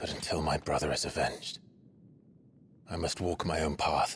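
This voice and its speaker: Using a put-on character voice, a man speaks at a moderate pace with a very deep pitch and very even loudness. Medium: video game. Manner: restrained, serious, low-key.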